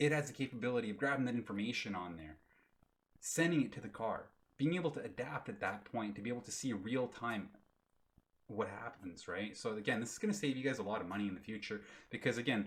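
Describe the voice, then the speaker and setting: This man's voice is animated, with lively intonation and a very fast pace. He leaves long, frequent pauses. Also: medium pitch for a man. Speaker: crypto YouTuber. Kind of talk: tutorial. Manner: casual, animated.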